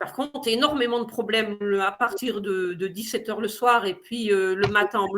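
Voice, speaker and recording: A woman's voice sits at a fairly high pitch with fairly even intonation. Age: 60s. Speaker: patient giving a testimony. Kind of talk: testimony. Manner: hesitant, many fillers.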